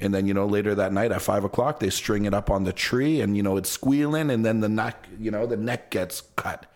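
A man speaks at a fairly quick pace in a Toronto accent, with hardly any pauses. His pitch is fairly low, with ordinary variation, and his loudness stays very even. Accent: Toronto Canadian English. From Canada, Toronto (Jane and Lawrence). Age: 40s. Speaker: travel YouTuber. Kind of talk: casual podcast interview.

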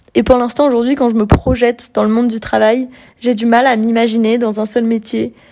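At a moderate pace, a woman speaks in a fairly high pitch with a dark, mellow tone. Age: 20s. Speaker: podcaster. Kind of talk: casual monologue. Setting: lying on her bed at home. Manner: hesitant, many fillers.

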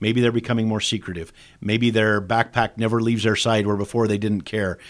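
In a plain, everyday voice, a man with an American accent speaks at a fairly quick pace and medium pitch on a very clean recording with a silent background. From Idaho. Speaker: state police director. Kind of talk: interview.

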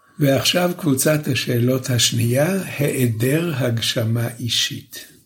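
A man's medium-pitched, somewhat breathy voice with lively intonation, very slow pace and audible room echo. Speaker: professor, lecturer. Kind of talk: lecture. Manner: slow, deliberate.

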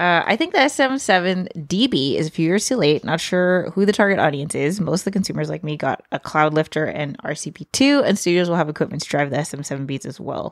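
A woman with a fairly low pitch speaks in an animated tone. Her intonation is lively and her pace moderate. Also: hardly any pauses. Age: 30s. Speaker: vlogger and podcast co-host. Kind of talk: casual chat. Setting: live stream.

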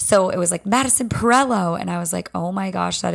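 A woman speaks at a very fast pace. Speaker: podcast host and fitness instructor. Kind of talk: solo podcast monologue. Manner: casual, chatty.

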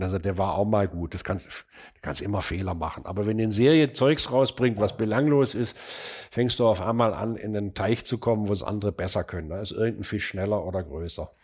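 A man with a normal speaking voice, a fairly low pitch and ordinary pitch variation, at a fairly quick pace. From Stuttgart, southwestern Germany. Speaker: furniture designer and manufacturer. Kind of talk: casual interview conversation. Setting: in person at an old country house office.

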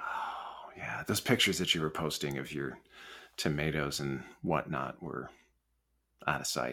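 A man with a very deep, low voice, a bright, sharp tone and vocal fry speaks at a moderate pace on a very clean recording with a silent background. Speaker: podcast host, college enrollment executive. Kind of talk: interview conversation.

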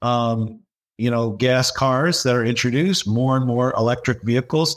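A man speaks at a moderate pace and medium pitch with a Midwestern American accent. The recording is very clean, with a silent background. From Michigan, US (Dearborn). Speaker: business professor. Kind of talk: podcast interview.

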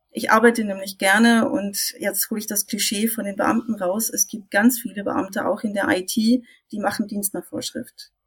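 At a moderate pace and with hardly any pauses, a woman speaks in a plain, everyday voice that sits fairly high. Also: ordinary pitch variation. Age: 50s. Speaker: IT consultant. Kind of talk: casual chat.

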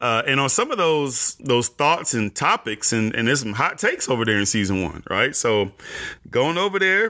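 In a bright, sharp tone, a man speaks at a moderate pace with lively intonation. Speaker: podcast host. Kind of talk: solo podcast monologue. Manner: animated.

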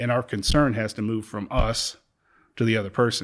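A man with a normal speaking voice, medium pitch and fairly even intonation, on a very clean recording with a silent background. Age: 50s. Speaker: church member speaking on faith and healing. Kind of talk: faith conversation, interview.

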